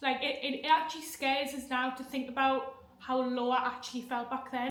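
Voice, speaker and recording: At a moderate pace, a woman talks in a high pitch with monotone, flat intonation against noticeable background noise. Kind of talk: casual talk to camera. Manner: stammering, with sound repetitions; nervous, emotional.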